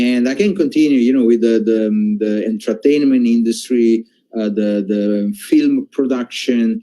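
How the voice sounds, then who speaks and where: With a dark, mellow tone at medium pitch, a man speaks at a fairly slow pace and with fairly even intonation. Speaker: company executive. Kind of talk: corporate presentation. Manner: halting, many fillers and repetitions.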